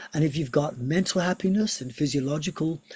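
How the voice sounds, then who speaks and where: Somewhat breathy, a man speaks at a moderate pace. His pitch varies in an ordinary way. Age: 60s. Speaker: yoga teacher and physiotherapist. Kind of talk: online seminar lecture. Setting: video call.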